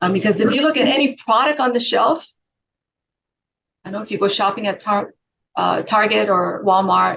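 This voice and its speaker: A woman's bright, sharp, fairly high voice with vocal fry, ordinary pitch variation, a moderate pace, and long, frequent pauses. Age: 60s. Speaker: wellness product advocate. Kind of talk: casual interview chat. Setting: video call.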